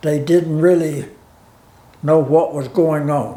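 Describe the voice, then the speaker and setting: A man with an Appalachian accent, fairly high in pitch and monotone, flat in intonation, amid audible room echo. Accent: Appalachian Southern American. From US South, Virginia. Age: 90s. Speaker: war veteran. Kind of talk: interview testimony. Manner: halting.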